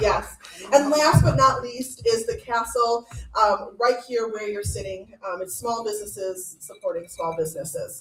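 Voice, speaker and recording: Over music in the background, a woman with fairly high pitch and lively intonation speaks at a moderate pace. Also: big swings in loudness. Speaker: program director, event emcee. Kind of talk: event welcome speech. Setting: event venue with live audience, microphone. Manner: loud; animated.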